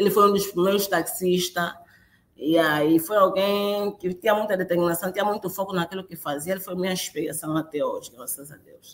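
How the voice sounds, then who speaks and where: At a fairly quick pace, a woman speaks at medium pitch with fairly even intonation and big swings in loudness. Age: 30s. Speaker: crane operator. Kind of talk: interview. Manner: halting.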